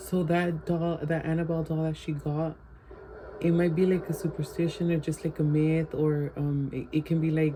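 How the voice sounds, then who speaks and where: With a very deep, low pitch, a woman speaks at a moderate pace in a monotone, flat intonation. Noticeable background noise is present. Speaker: vlogger. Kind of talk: casual vlog chat.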